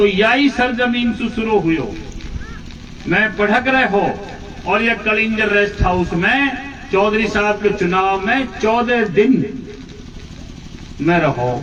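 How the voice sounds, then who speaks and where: Speech with ordinary pitch variation and very even loudness, broken by long, frequent pauses. The recording has audible room echo and noticeable background noise. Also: man, high pitch for a man. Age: 60s. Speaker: politician. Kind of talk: political speech.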